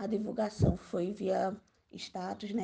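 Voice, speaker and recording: A woman speaks at a medium pitch, very slowly, with vocal fry. Her tone is dark and mellow. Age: 20s. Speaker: community activist. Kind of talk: interview. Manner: casual, slangy.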